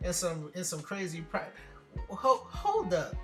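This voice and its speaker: Music plays in the background while the voice moves with ordinary pitch variation. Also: man. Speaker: comedic voiceover narrator. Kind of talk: comedic voiceover of hair tutorial. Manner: casual, joking.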